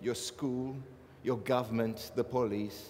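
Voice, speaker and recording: A man speaks with a South African accent. His pitch sits in the medium range. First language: Afrikaans. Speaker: artist. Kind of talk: panel talk. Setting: stage with audience, microphone.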